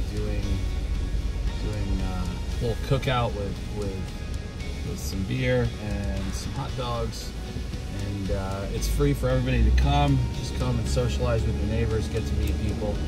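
A man at a fairly slow pace, with ordinary pitch variation, long, frequent pauses and loud music in the background. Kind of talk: casual tour commentary. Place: car. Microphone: phone near.

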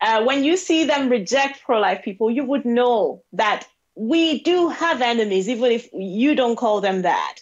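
A high-pitched woman with a Nigerian accent and lively intonation, at a fairly slow pace, over a quiet background. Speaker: pro-life advocate; guest. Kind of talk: interview. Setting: video call. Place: home room. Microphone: earbuds.

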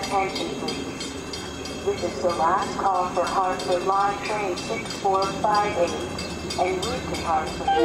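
Loud background noise fills the clip as the speaker talks at a very slow pace. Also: woman. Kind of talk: public address announcement. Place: station.

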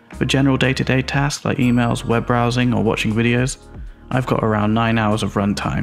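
A man with a medium-pitched voice talks at a fairly quick pace and with fairly even intonation while music plays in the background. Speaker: video producer. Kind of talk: casual tech review to camera.

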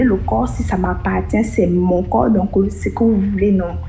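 Amid noticeable background noise, a woman speaks at a fairly slow pace with hardly any pauses. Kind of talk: testimony.

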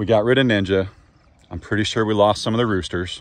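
Speaking at a fairly quick pace, a man with a plain, everyday voice and a fairly low pitch is heard in a dry sound with no echo. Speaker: farmer vlogger. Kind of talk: casual vlog chat. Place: open country. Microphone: phone near.

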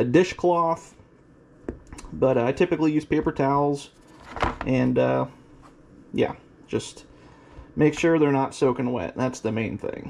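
Speech comes at a fairly slow pace with long, frequent pauses over light background noise. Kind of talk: tutorial. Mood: relaxed, folksy. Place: kitchen. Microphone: phone near.

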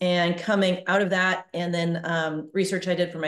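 A woman at a fairly low pitch with fairly even intonation and a moderate pace, audible room echo, and a quiet background. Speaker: guest. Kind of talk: interview answer. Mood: calm and reflective. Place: home room. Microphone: video call.

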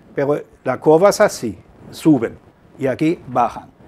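The man's pitch sits fairly high. He speaks at a fairly slow pace. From Germany, Hamburg. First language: German (speaking Spanish). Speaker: journalist and author. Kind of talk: interview. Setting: studio. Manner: halting.

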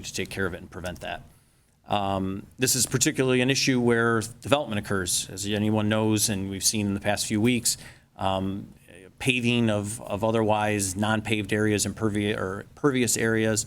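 A man talks fairly quickly, his voice fairly low and his intonation fairly even. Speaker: engineer. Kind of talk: presentation at public meeting. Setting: township board meeting room. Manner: hesitant, many fillers; fast.

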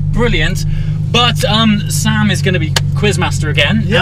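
Speech at a moderate pace over loud background noise. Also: man. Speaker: car vlogger. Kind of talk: casual vlog chat. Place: car.

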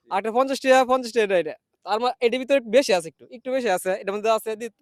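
A man speaks with a high pitch. The sound is dry and close, with no echo. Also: big swings in loudness. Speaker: street video host running a cash game. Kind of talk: street interview game show.

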